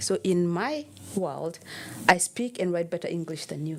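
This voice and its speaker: Through noticeable background noise, a woman with a Kenyan accent and a fairly low pitch speaks at a moderate pace. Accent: Kenyan accent, still noticeable. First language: Kenyan mother tongue. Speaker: personal trainer. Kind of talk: interview. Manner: animated.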